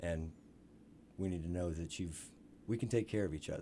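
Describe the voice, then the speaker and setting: A somewhat breathy, dark and mellow voice with an American accent, moving at a fairly quick pace. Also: man. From Missouri. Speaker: Marine veteran, veterans outdoors group member. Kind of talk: radio interview. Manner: halting, many fillers and repetitions.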